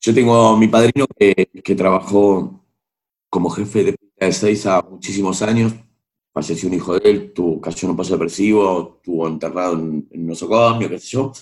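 An unremarkable speaking voice proceeds at moderate speed. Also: man, fairly low pitch for a man, ordinary pitch variation. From Argentina, Buenos Aires. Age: 40s. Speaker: singer and music producer. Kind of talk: interview.

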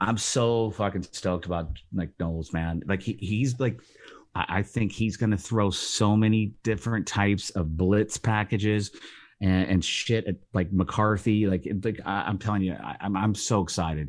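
A man speaks at a moderate pace in a fairly low pitch with ordinary variation. It is a plain, everyday voice. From Cleveland, Ohio. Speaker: podcast contributor. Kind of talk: casual sports podcast chat. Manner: excitable, profane, casual.

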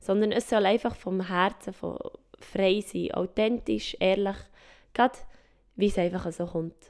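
Vocal fry runs through a woman's medium-pitched voice. Her intonation stays fairly even. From Switzerland, mountain region. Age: 20s. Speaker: podcast host. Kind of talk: podcast intro monologue. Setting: at home in her living room.

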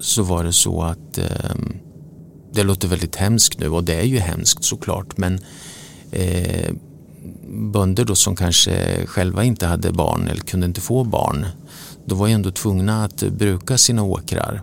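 A man with a very deep, low pitch speaks with ordinary pitch variation and long, frequent pauses. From Sweden, Motala. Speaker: newspaper publisher. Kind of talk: interview. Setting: office.

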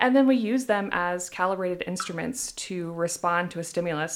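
Fairly low in pitch, a woman with a plain, everyday voice and an American accent speaks at a fairly quick pace in a very clean recording with a silent background. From US Midwest, Iowa. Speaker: sensory scientist. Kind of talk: casual interview. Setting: studio.

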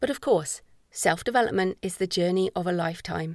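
Using a medium pitch and ordinary pitch variation, a woman with an English accent speaks at a moderate pace on a very clean recording with a silent background. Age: 40s. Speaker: author. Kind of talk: audiobook narration. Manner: measured.

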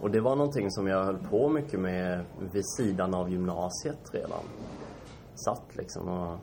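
A man talks at a moderate pace with a very deep, low pitch and lively intonation. Audible room echo surrounds his voice. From Sweden, Kalmar. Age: 20s. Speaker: startup founder. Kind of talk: interview. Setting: shop showroom. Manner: hesitant, many fillers.

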